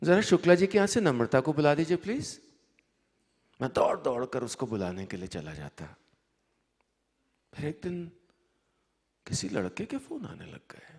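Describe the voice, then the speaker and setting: Leaving long, frequent pauses, a man speaks with big swings in loudness and very wide pitch swings. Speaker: storyteller. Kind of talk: live story reading. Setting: live stage, festival audience.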